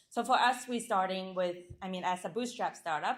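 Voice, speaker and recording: A woman with a Chinese accent is heard on a very clean recording against a silent background. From China, rural village. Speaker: startup founder. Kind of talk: pitch and Q&A. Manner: halting with fillers and restarts.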